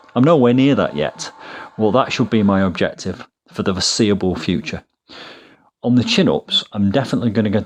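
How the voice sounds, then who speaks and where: Speaking fairly quickly with a British accent, a man uses lively intonation. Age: 50s. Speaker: fitness YouTuber. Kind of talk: vlog narration. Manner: hesitant, with fillers.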